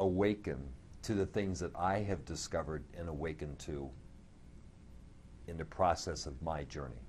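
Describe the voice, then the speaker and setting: A man's very deep, low voice with vocal fry and long, frequent pauses. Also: ordinary pitch variation, moderate pace. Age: 60s. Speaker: spiritual speaker sharing personal recovery. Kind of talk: interview testimony. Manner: halting, with repeated words.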